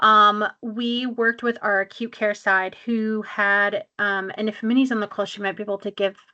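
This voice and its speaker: A woman's fairly high, bright, sharp voice against a quiet background. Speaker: clinic manager presenting a webinar. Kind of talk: webinar presentation. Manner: fast.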